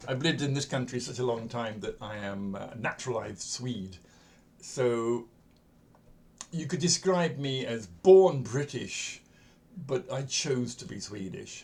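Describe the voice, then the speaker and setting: A somewhat breathy, medium-pitched male voice, fairly slow, with lively intonation and audible room echo. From England. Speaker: coach and educator. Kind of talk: lecture. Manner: conversational, with fillers.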